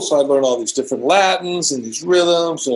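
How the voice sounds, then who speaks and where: A man with an American accent and a high pitch speaks at a fairly quick pace. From US West Coast, California. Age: 60s. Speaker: drummer. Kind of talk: interview. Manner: casual, animated.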